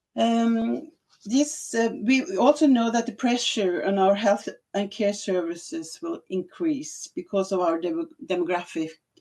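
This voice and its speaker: In a Norwegian accent, a woman talks at a fairly slow pace with fairly high pitch and very wide pitch swings. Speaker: health administrator. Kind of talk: conference presentation. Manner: halting.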